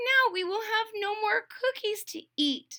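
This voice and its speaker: Someone speaks in a put-on character voice that is squeaky. The delivery is fairly slow, with lively intonation. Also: woman. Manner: sad.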